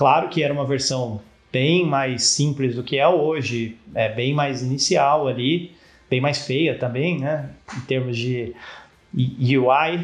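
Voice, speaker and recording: A man with a somewhat breathy voice and fairly high pitch speaks very slowly, with fairly even intonation. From Brazil, São Paulo state (Campinas). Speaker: startup founder, engineer. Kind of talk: interview.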